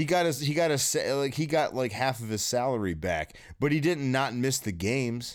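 In a plain, everyday voice with an American accent, a man speaks at a moderate pace and medium pitch, with lively intonation and hardly any pauses. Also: very even loudness, very clean recording, silent background. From US Midwest (East Lansing, Michigan). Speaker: podcast host. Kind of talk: casual chat.

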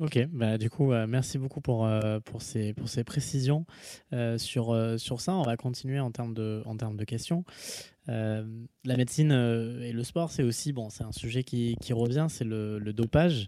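A man's medium-pitched voice with a dark, mellow tone, ordinary pitch variation, and a fairly slow pace. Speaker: podcast host. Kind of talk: interview. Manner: halting.

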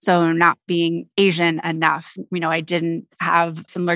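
A woman's fairly low, bright and sharp voice, monotone and flat at a moderate pace, dry and close with no echo against a quiet background. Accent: American. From US West Coast, San Francisco Bay Area. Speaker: nonprofit CEO and co-founder. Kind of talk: interview.

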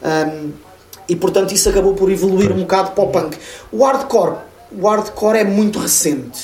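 Against noticeable background noise and audible room echo, a high-pitched man talks at a fairly quick pace with ordinary pitch variation and very even loudness. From Portugal, Lisbon. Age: 40s. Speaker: metal webzine reporter and radio host. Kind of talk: casual chat.

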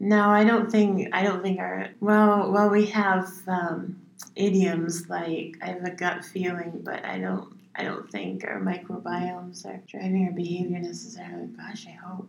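A woman at medium pitch, fairly slow and flat in a monotone, with big swings in loudness. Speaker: songwriter and poet. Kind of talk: casual chat. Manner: halting, spacey-sounding.

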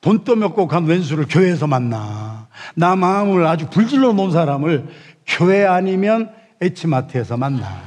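A man at a fairly slow pace, high-pitched, with very wide pitch swings. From South Korea, Chungcheong (Yesan). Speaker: pastor. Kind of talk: sermon.

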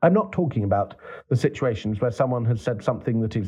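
Somewhat breathy and dark, mellow in tone, a man's medium-pitched voice moves with lively intonation. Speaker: clergyman reading his own column. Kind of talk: literary audiobook reading of an essay. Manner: measured, formal, earnest.

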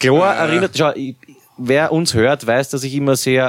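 On a very clean recording with a silent background, a man in a normal speaking voice talks at a moderate pace and medium pitch with ordinary pitch variation. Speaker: podcast host. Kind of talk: casual chat.

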